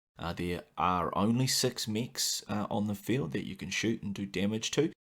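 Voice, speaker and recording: This man speaks at a moderate pace in a New Zealand accent. The recording is very clean, with a silent background. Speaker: gaming podcast host. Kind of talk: podcast monologue. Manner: frequent filler 'uh'.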